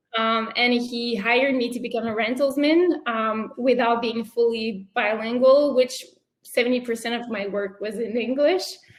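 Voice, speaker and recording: A woman with a French accent, high in pitch, at a moderate pace. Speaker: entrepreneur. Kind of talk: interview.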